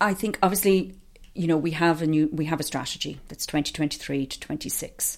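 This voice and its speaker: In an Irish Midlands accent, a woman speaks at a very fast pace. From Ireland, County Offaly. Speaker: organisation executive and public health professor. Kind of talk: interview. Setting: office.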